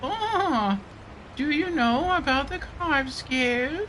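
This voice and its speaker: A man's put-on character voice, extremely high in pitch and very slow, over clear background noise. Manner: imitating the English voice.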